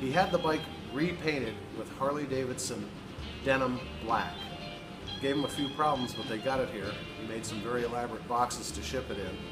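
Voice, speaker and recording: With clear music in the background, a man talks at a fairly quick pace and ordinary pitch variation. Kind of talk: tutorial. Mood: relaxed, friendly. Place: workshop. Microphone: phone near.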